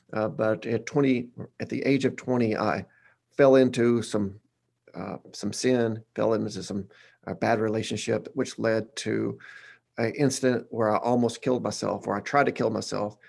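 A man speaks at a moderate pace with a Southern US accent. His intonation stays fairly even. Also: medium pitch for a man. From Arkansas, Batesville. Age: 40s. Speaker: pastor. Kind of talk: casual interview.

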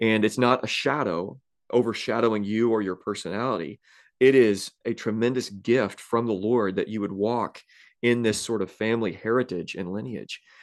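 Against a quiet background, a man with an unremarkable speaking voice talks at a moderate pace and medium pitch, with ordinary pitch variation. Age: 30s. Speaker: pastor and podcast host. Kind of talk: casual conversational interview.

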